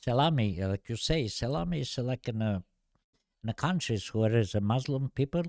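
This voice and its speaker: A man's medium-pitched voice, fairly quick and lively in intonation, dry and close with no echo on a very clean recording with a silent background. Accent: Albanian. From Albania. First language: Albanian. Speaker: podcast guest. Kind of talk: casual chat. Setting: studio. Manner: halting.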